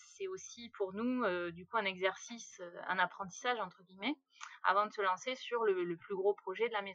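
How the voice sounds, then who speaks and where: A woman speaks with a bright, sharp tone. Her loudness swings widely. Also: medium pitch for a woman, ordinary pitch variation, moderate pace. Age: 30s. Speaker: self-builder of a tiny house. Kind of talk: interview. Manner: hesitant, many fillers.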